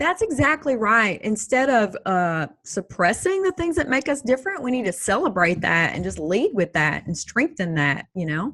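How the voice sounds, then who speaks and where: In a strong Texas accent, a woman talks at a moderate pace with hardly any pauses. Her fairly high, bright, sharp voice has very wide pitch swings. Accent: strong Texas twang. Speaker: Army veteran and speaker. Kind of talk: casual interview chat.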